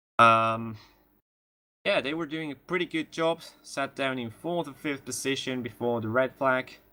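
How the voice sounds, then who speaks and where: Talking at a fairly slow pace, a man with a bright, sharp tone and ordinary pitch variation is heard on a very clean recording with a silent background. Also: medium pitch for a man. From Spain. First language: Spanish. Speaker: sim racing commentator. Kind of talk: live commentary. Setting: live stream broadcast. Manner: halting.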